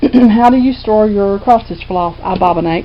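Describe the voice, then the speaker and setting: Noticeable background noise surrounds a woman whose intonation is lively. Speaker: cross stitch video blogger. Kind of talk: casual chat. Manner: talkative; loud. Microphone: quiet volume.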